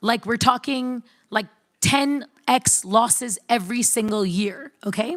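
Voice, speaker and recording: A woman speaks with an American accent in a plain, everyday voice, her pitch fairly high with ordinary variation. The recording is very clean, with a silent background. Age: young. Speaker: startup founder. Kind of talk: panel discussion.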